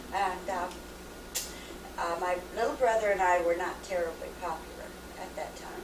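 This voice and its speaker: A woman at a moderate pace with long, frequent pauses, amid noticeable background noise and audible room echo. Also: medium pitch for a woman, ordinary pitch variation. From US Pacific Northwest, Washington State. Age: 50s. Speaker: mother interviewed about her life. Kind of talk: oral history interview. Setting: home video recording. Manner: hesitant, many fillers.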